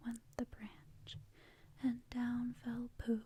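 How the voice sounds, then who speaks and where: The speaker is whispering. The voice is soft-spoken. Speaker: ASMR artist. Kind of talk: ASMR bedtime story reading. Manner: softly spoken, whispering.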